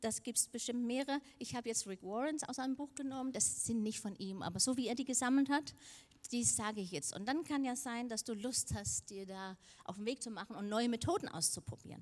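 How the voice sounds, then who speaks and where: Speaking fairly quickly, a woman with a fairly high pitch talks with a Danish accent. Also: ordinary pitch variation. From Denmark. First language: Danish (speaking German). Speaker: preacher. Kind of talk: sermon.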